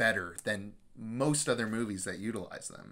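At a moderate pace, a man speaks with a fairly bright tone and ordinary pitch variation.

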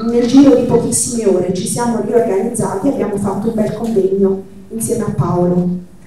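A woman with a medium pitch speaks fairly quickly, her intonation fairly even. Strong room echo and light background noise surround her voice. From central Italy, Marche. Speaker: activist organizer. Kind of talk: event moderation. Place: hall.

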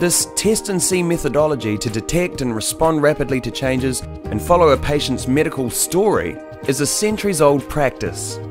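Over music in the background, a man with a New Zealand accent speaks at a moderate pace at medium pitch, his voice making very wide pitch swings. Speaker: voice actor. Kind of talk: corporate narration.

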